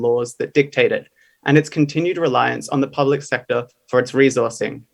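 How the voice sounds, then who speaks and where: A man speaks with an Australian accent. His pitch is fairly high and his intonation fairly even. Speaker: graduate student speaker. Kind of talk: conference presentation. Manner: formal.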